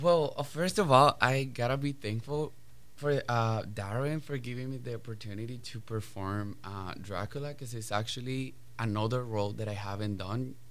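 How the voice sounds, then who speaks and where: A man speaks with a Spanish accent at a moderate pace. His pitch is medium, with ordinary variation. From Colombia. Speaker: ballet dancer. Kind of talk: radio interview.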